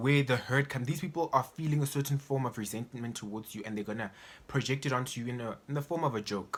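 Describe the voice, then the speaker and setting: This man's bright, sharp tone sits at a medium pitch, with ordinary pitch variation and a very fast pace. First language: Setswana or Sesotho. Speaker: vlogger. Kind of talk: personal vlog monologue. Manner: casual, halting.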